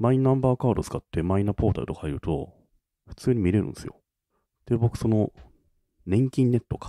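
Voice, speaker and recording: A man with a dark, mellow tone and a medium pitch talks at a fairly quick pace, with lively intonation and big swings in loudness. He leaves long, frequent pauses, and the sound is dry and close with no echo. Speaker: podcast co-host. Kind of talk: casual chat.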